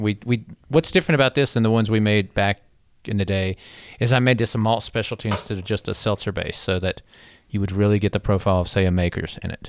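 Talking very fast in a North Carolina accent, a man keeps a fairly low pitch and fairly even intonation. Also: very clean recording, silent background. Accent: Southern US (North Carolina). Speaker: beverage company CEO. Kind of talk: casual chat. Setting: studio.

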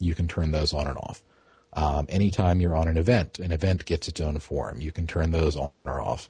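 A man with a very deep, low pitch speaks at a fairly quick pace in a dark, mellow tone that is somewhat breathy. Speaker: web developer and forum moderator. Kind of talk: casual podcast chat. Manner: even, unexcited.

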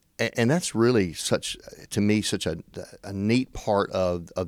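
Recorded very cleanly with a silent background, a man with a Tennessee accent talks at a moderate pace, fairly low in pitch with ordinary pitch variation. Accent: Southern US (Tennessee). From US South, western Tennessee. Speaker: state legislator. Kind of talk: interview. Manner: hesitant, many fillers.

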